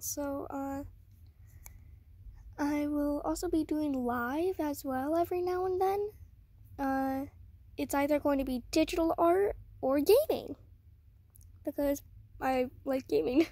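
This woman's voice is high-pitched and shaky, with a dark, mellow tone. Her pitch varies in an ordinary way, broken by long, frequent pauses, and the sound is dry with no echo. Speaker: beginner art channel creator. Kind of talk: casual talk to camera. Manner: shaky, hesitant. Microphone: phone near.

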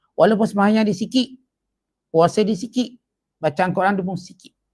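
High-pitched and very fast, a man speaks with ordinary pitch variation. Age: 40s. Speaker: religious teacher. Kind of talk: religious lecture. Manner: casual, conversational.

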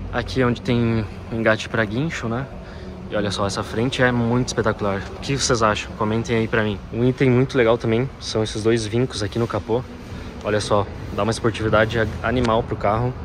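There is noticeable background noise as a man talks. He goes at a fairly quick pace with fairly even intonation. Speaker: presenter. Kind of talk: car walkaround review. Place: shop. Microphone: phone near.

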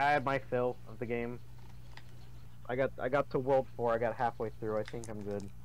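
The pace is moderate. Long pauses come often. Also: man. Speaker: gamer playing on video. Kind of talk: casual chat over gameplay.

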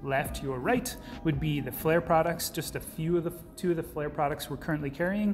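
Music plays in the background as a man talks with fairly even intonation. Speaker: presenter. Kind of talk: product overview talk. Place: office.

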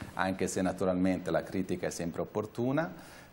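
A man's lively intonation over light background noise. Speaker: sociologist; studio guest commentator. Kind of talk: talk show discussion. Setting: remote video link. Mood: calm, reflective. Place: studio.

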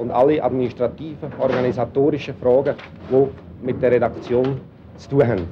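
Noticeable background noise fills the clip. A man speaks at a fairly quick pace with ordinary pitch variation. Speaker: newspaper editor-in-chief. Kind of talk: 1965 documentary film narration, statement to camera about his job. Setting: office, newsroom. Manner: formal, measured, businesslike. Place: office.

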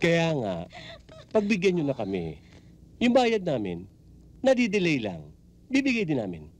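Using a put-on character voice, a man speaks at a fairly slow pace with a fairly high pitch, very wide pitch swings and a slightly mellow tone.

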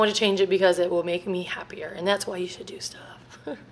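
This woman talks at a fairly quick pace. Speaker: family vlogger. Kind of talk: casual vlog chat. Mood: chatty, self-reflective, laughing. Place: home room. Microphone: phone near.

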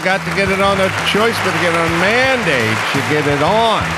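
Over loud background noise, a man speaks at a moderate pace in a dry recording with no echo. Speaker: comedian and podcast host. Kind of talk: casual show opening talk. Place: studio. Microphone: studio mic.

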